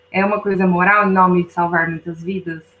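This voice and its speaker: A woman talks in a normal speaking voice at a moderate pace, with fairly even intonation. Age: 20s. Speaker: law student, new research member. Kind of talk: casual discussion.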